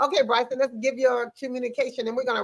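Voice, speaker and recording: A woman speaks with an American accent in a high pitch. Her tone is bright and sharp. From US Mid-Atlantic (Maryland, Prince George's County). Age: 60s. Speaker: podcast host and personality coach. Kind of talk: live talk show interview. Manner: conversational.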